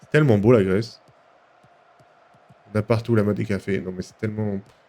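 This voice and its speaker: At a fairly quick pace, a man with a fairly low pitch and ordinary pitch variation speaks with big swings in loudness. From Paris suburbs, France. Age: 20s. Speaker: video game streamer. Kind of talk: casual live-stream chat while gaming. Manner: animated, informal.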